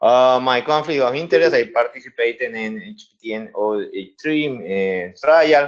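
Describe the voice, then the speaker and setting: Speaking with a Spanish accent, a man of medium pitch keeps a moderate pace, with lively intonation and big swings in loudness. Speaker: infectious disease doctor. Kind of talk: webinar presentation. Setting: webinar.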